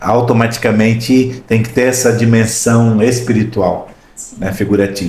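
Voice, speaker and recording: A man speaks fairly slowly at medium pitch, his intonation monotone and flat. Room echo is audible, and background noise is noticeable. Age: 60s. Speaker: podcast host. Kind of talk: podcast interview.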